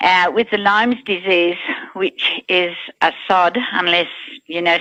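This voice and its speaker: An Australian-accented woman talks at a fairly slow pace and medium pitch, her tone bright and sharp and her intonation fairly even. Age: 60s. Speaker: product testimonial giver. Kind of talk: testimony.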